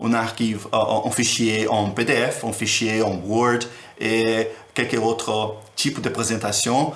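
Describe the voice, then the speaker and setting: Audible room echo surrounds a speaker with a non-native accent who talks at a very slow pace. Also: man. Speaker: teacher. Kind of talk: tutorial. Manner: halting. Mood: friendly, warm.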